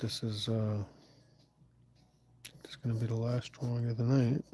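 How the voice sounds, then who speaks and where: A man's voice sits at medium pitch, with a dark, mellow tone and a somewhat breathy quality. He speaks in a monotone, flat intonation with long, frequent pauses. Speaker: artist livestreaming sketching. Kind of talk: livestream drawing commentary. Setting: shared space, livestream. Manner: speaking quietly; relaxed, casual.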